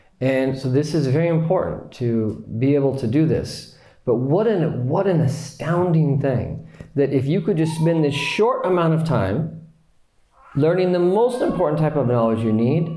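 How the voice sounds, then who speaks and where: Over noticeable background noise and audible room echo, a man speaks at a moderate pace with a fairly high pitch and lively intonation. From US. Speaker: Islamic teacher. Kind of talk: lecture. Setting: retreat class with audience.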